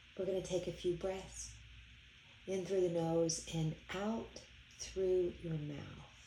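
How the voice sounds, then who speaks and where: Against noticeable background noise, a woman with a fairly low pitch talks at a very slow pace with a monotone, flat intonation and long, frequent pauses. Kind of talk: guided meditation. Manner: slow, soothing and calm, with gentle repetition; soft-spoken and unhurried, with long pauses.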